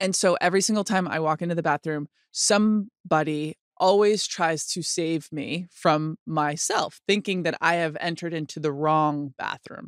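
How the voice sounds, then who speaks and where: A woman with a plain, everyday voice, fairly low in pitch, speaks at a moderate pace with fairly even intonation, recorded very cleanly with a silent background and a dry, close sound with no echo. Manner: personal, reflective storytelling.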